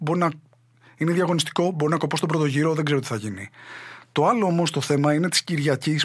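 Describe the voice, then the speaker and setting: A man talks very fast at a fairly high pitch, with ordinary pitch variation. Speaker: comedian and podcast host. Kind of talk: satirical monologue.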